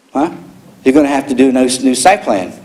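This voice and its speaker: A man's medium-pitched voice at a fairly quick pace over noticeable background noise. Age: 60s. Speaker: public commenter at council meeting. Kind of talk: public comment. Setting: city council chamber. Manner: angry, confrontational.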